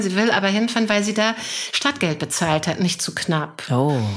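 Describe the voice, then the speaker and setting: At a moderate pace, a woman uses a normal speaking voice at medium pitch. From Germany, Hannover. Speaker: mental coach. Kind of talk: interview.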